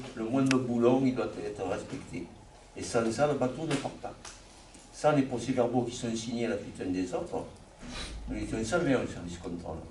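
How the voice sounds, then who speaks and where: Through audible room echo and noticeable background noise, a man at medium pitch with ordinary pitch variation talks at a moderate pace with long, frequent pauses. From southern France, La Seyne-sur-Mer (Var). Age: 70s. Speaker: retired shipyard inspector. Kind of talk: oral history testimony.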